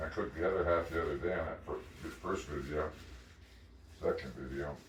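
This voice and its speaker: There is audible room echo as a man speaks. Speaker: home cooking vlogger. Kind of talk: casual cooking vlog. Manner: halting, many ums and repetitions.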